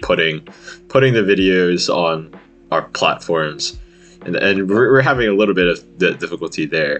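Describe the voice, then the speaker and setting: Music playing behind a male speaker. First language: Vietnamese. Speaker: podcast host. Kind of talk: casual chat. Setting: video call. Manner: casual, profane and laughing.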